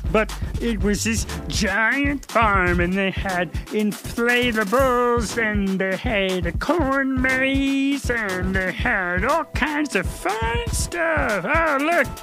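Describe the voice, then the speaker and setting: A put-on character voice at a very slow pace over loud background music. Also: man, high pitch for a man. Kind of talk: improvised comedy podcast. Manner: heated, dramatic.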